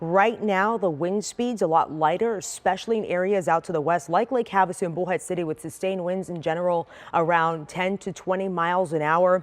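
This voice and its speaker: Here a woman talks at a fairly quick pace in a fairly low pitch with fairly even intonation. She has a plain, everyday voice. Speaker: TV weather forecaster. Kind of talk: TV weather forecast segment.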